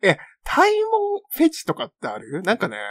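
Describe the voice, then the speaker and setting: A man talks at a moderate pace. His voice sounds dry and close, with no echo. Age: 30s. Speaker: podcast co-host. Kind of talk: casual chat.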